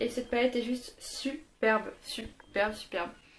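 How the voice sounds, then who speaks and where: A woman speaks at a high pitch. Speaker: beauty youtuber. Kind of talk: product review. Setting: home filming in daylight. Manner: fast.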